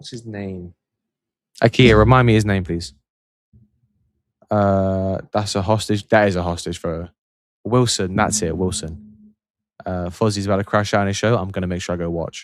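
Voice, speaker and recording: Pausing long and often, a man talks at a moderate pace with a fairly low pitch and fairly even intonation. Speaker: football livestream host. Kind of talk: casual live stream chat. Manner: low energy. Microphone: mic very close to mouth.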